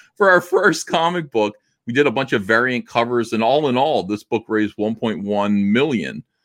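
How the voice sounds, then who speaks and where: A man with an unremarkable speaking voice talks at a medium pitch with lively intonation, recorded dry and close with no echo. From New Jersey. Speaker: comic book artist and publisher. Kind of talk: casual interview.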